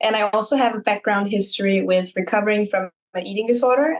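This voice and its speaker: A woman speaks in an ordinary speaking voice, fairly high in pitch with ordinary pitch variation. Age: 20s. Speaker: content creator. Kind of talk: podcast interview.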